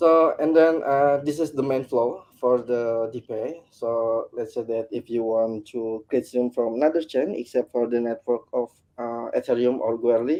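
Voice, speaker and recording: Speaking at a moderate pace with a non-native accent, a man uses a medium pitch and ordinary pitch variation. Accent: non-native English speaker. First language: not English. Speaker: hackathon team presenter. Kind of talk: product pitch presentation. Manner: halting, many filler words.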